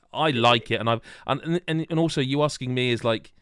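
A man talks in a plain, everyday voice at a medium pitch. His intonation is lively and his pace fairly quick. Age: 40s. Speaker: podcast host. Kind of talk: casual chat. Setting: live video stream.

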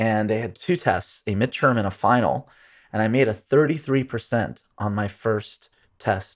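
Speaking at a fairly slow pace, a man with an unremarkable speaking voice and medium pitch shows ordinary pitch variation. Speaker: neuroscientist and pain researcher. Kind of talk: casual interview conversation.

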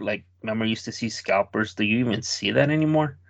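A man with an American accent speaks at a medium pitch and a fairly quick pace. He has a normal speaking voice with ordinary pitch variation. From Chicago area, US. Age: 40s. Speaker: podcast host. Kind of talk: casual chat.

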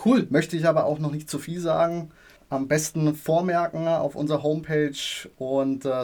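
A man speaks in an unremarkable speaking voice, fairly high in pitch, with fairly even intonation. His moderate pace comes through on a very clean recording with a silent background. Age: 30s. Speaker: property developer sales representative. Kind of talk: interview.

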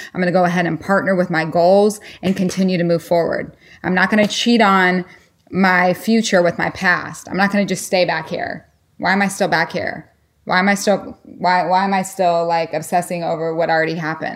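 The recording is very clean, with a silent background. A woman with a normal speaking voice talks at a fairly quick pace, using a medium pitch and fairly even intonation. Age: 40s. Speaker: fitness coach and former pro sprinter. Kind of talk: podcast interview.

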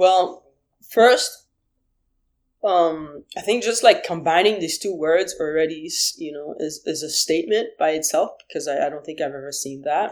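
Speaking with a Haitian accent at a moderate pace, a woman uses a fairly low pitch with ordinary pitch variation and big swings in loudness. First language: Haitian Creole. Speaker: musician. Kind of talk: interview. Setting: video call. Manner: halting.

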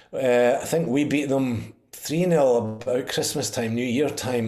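With a Perthshire accent, a man speaks at medium pitch with ordinary pitch variation, amid audible room echo and noticeable background noise. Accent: Scottish (Perthshire). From Scotland, Perthshire (Pitlochry). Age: 50s. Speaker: football fan. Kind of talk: interview.

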